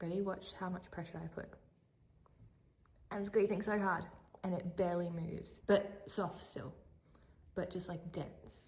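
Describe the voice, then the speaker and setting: A woman's medium-pitched, somewhat breathy voice with an Australian accent, flat and monotone, at a fairly slow pace with long, frequent pauses. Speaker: lifestyle vlogger. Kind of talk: casual vlog chat. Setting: home kitchen, later car. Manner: whispering at times; chatty, rambling with fillers.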